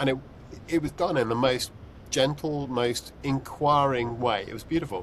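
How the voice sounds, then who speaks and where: A medium-pitched man with a British accent over noticeable background noise. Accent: UK. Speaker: podcast host. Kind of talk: casual chat. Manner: halting, many fillers.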